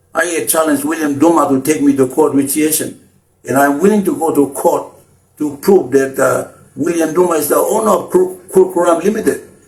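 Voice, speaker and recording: Talking at a fairly quick pace over background music, a man uses a high pitch. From Papua New Guinea, Chimbu highlands. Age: 60s. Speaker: anti-corruption activist leader. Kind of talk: public appeal speech. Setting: Facebook live stream. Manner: halting with repeated words and fillers.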